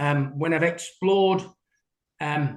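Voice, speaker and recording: A man speaks with an English accent. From England. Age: 60s. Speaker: window cleaner. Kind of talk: interview. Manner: halting.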